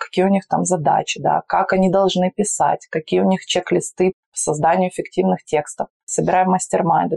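Moderately paced female speech in a dry, close sound with no echo. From Russia, Urals (Magnitogorsk, Chelyabinsk region). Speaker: PR agency founder. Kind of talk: interview. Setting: face-to-face, not in a studio.

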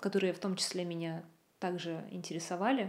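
A woman speaks in a medium pitch at a moderate pace. Her intonation is monotone and flat. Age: 30s. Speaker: video content producer. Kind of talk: casual chat. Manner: halting.

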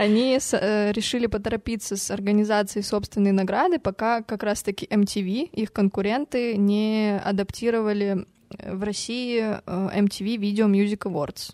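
A woman's medium-pitched voice, dark and mellow in tone, with fairly even intonation, a fairly slow pace and a dry, close sound with no echo. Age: 20s. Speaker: podcast co-host. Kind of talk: casual chat.

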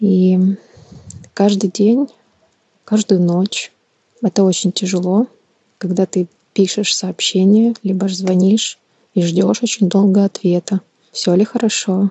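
A woman speaks very slowly at medium pitch in a flat monotone, somewhat breathy, with very even loudness and long, frequent pauses. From Ukraine, Kyiv. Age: 30s. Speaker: war refugee. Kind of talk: personal testimony.

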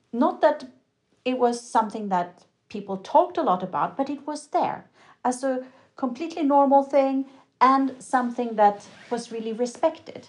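A woman with a Swedish accent talks at a moderate pace, her pitch high and her intonation lively, over a quiet background. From Sweden. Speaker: curator. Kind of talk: interview.

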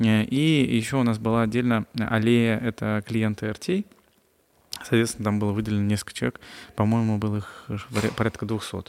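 The recording is very clean, with a silent background. A man talks with fairly even intonation and long, frequent pauses. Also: medium pitch for a man, moderate pace. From Russia, Chita. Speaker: entrepreneur and blogger. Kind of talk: podcast interview.

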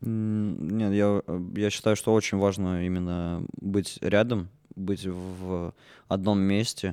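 Very slowly, a man talks in a fairly low pitch with a dark, mellow tone. His intonation is monotone and flat. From Russia, Orenburg. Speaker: puppet theatre actor and musician. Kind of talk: casual chat.

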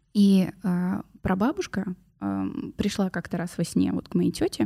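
In a very clean recording with a silent background, a woman speaks in a medium pitch with a somewhat breathy voice. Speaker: podcast host. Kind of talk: casual chat.

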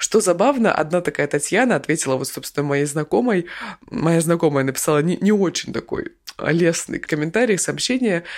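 Here is a woman with a plain, everyday voice, pitched fairly low. She moves at a moderate pace with lively intonation. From Krasnoyarsk, Siberia. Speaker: podcast news co-host. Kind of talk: casual news discussion.

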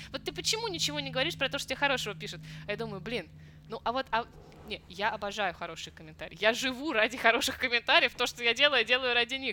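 A woman speaks very fast in a fairly high, bright, sharp voice with vocal fry. Her intonation is lively, and her loudness swings widely. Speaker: Chinese teacher and song translator blogger. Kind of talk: casual interview chat.

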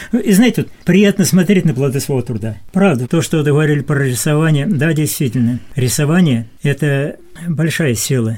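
A man speaks in a fairly high, somewhat breathy voice. His tone is dark and mellow, and his intonation lively. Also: moderate pace. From southern Russia, Khoper river area. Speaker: senior volunteer. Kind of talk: radio interview. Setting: studio.

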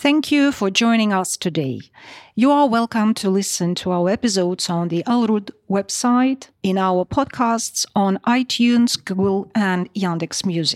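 A woman's medium-pitched voice with a Russian accent at a fairly slow pace, in a very clean, dry, close recording with a silent background and no echo. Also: ordinary pitch variation. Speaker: podcast host, lawyer. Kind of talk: podcast moderation.

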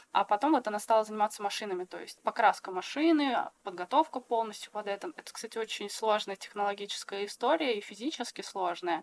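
A woman talks at a very fast pace and a fairly high pitch with ordinary pitch variation. The sound is dry and close, with no echo. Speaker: textile artist. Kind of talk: casual chat. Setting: video call.

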